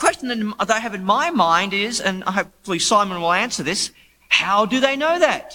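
Speaking at a moderate pace with an Australian accent, a man uses a raised, projected voice, high in pitch with very wide pitch swings. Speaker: debate panelist, biblical scholar. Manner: humorous, casual.

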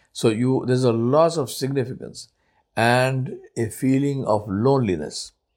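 A man with an Indian accent talks at a fairly slow pace at medium pitch with ordinary pitch variation. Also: very clean recording, silent background. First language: Urdu. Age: 60s. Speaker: podcaster. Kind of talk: personal reflective monologue. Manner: halting, many filler words.

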